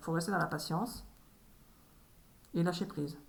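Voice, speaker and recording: Her pitch is fairly low, and this woman talks at a fairly quick pace. Her intonation stays fairly even. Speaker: medium doing tarot card readings. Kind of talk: solo tarot reading video. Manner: halting, repeats words.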